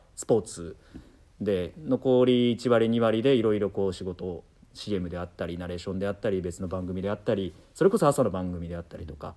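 A man speaks with lively intonation. His loudness swings widely. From Nagoya, Aichi, Japan. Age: 30s. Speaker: radio and TV announcer. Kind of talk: casual chat. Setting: studio.

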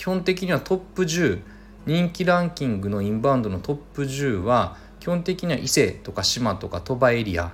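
Somewhat breathy, a man talks at a moderate pace and medium pitch with very wide pitch swings. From Mie Prefecture, Japan (Suzuka). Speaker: podcast host, inbound marketing consultant. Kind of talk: solo podcast monologue. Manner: casual, thinking aloud.

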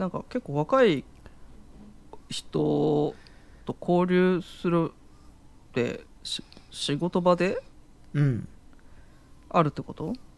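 A man talks very slowly, with long pauses coming often. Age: 40s. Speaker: podcast co-host. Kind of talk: casual chat.

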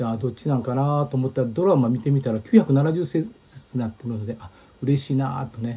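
A man talks at a fairly quick pace and medium pitch, his tone dark and mellow and somewhat breathy, with ordinary pitch variation and big swings in loudness. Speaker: historian. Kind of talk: casual lecture-style chat.

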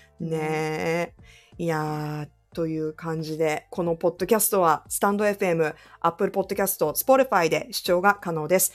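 A woman speaks fairly slowly in a fairly low pitch, an unremarkable speaking voice with ordinary pitch variation and big swings in loudness. The recording is very clean, with a silent background. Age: 40s. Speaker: radio DJ and podcast co-host. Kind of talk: casual chat.

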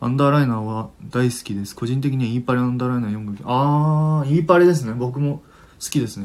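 His pitch is medium. The voice belongs to a man. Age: 20s. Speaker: livestream radio host. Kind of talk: casual chat. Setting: live stream with listener comments.

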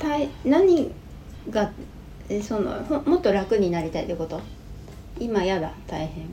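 A woman speaks at medium pitch and a fairly slow pace, with long, frequent pauses and very wide pitch swings. Audible room echo and noticeable background noise are present. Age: 40s. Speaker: podcast co-host, host's wife. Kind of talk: casual chat.

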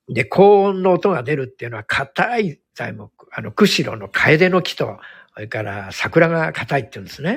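A somewhat breathy man at a moderate pace. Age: 60s. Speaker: hairdresser and salon owner. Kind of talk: casual chat. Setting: live online audio stream. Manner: gentle, soft-spoken.

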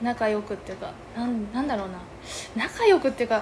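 Lively intonation and high pitch mark the woman's moderate pace, with noticeable background noise behind her. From Yamagata, Japan (rural Kaneyama). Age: 20s. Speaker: podcast co-host, cafe owner. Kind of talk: casual chat.

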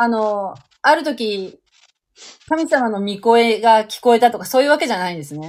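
A woman with a plain, everyday voice speaks at a moderate pace in a fairly high pitch, her intonation lively and her loudness swinging widely. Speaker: livestream host. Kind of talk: casual chat. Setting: online live audio stream.

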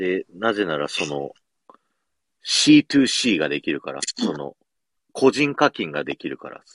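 This man's voice sits very deep and low, with very wide pitch swings and big swings in loudness. He talks at a fairly slow pace with long, frequent pauses, in a dry, close sound with no echo. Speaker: podcast host and radio station employee. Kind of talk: casual chat. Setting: radio booth.

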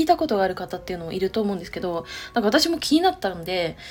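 Through noticeable background noise, a woman talks at a very fast pace with very wide pitch swings. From Chiba, Japan. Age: 30s. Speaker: podcaster and web writer, civil engineering worker. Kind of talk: casual solo podcast monologue. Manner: hesitant, many fillers.

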